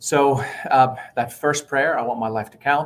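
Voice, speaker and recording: A man talks with an Arabic accent. His pace is moderate and his intonation fairly even. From southern Lebanon. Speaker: pastor and education nonprofit leader. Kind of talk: interview testimony.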